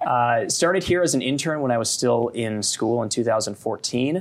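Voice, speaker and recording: A man talks at a medium speed in an unremarkable speaking voice, mid-range in pitch, with ordinary pitch variation. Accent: American. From northern Michigan. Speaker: TV news anchor. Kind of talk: casual chat.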